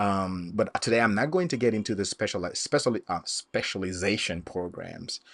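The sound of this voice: The man's tone is fairly bright, with vocal fry. His pitch varies in an ordinary way. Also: fairly low pitch for a man, moderate pace.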